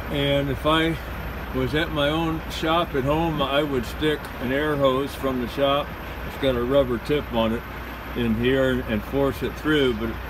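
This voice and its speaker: A man talks at a fairly slow pace. Noticeable background noise is present. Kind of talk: tutorial. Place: street. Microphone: phone near.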